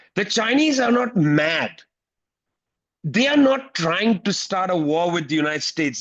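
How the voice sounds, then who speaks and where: With lively intonation, a man talks in a high pitch and keeps a moderate pace. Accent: Indian. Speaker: political commentator. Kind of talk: panel talk at an online teach-in. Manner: animated, emphatic.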